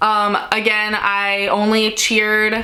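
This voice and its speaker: A woman's medium-pitched voice, with audible room echo and noticeable background noise. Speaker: lifestyle YouTuber. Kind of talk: casual Q&A chat. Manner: loud, projecting; casual, filler-heavy.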